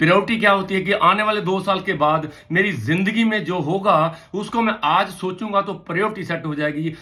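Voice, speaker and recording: In a raised, projected voice, a man talks with a high pitch and a bright, sharp, animated tone. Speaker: motivational trainer. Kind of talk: motivational talk.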